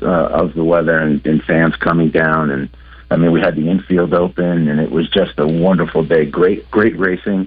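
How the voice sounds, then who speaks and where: A man's very deep, low voice at a moderate pace, with fairly even intonation, very even loudness and noticeable background noise. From US South, El Dorado, Arkansas. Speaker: racing casino events representative. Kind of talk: casual radio interview.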